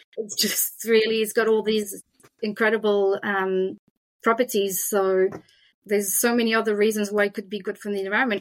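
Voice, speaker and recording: With a French accent, a woman talks at a moderate pace in a fairly high pitch, her intonation monotone and flat. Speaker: hemp food business representative. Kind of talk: interview.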